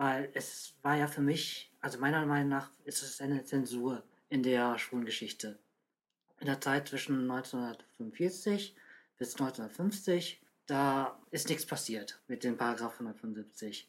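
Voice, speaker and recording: A man's medium-pitched voice with ordinary pitch variation at a very slow pace. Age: 30s. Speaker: documentary filmmaker. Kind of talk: interview.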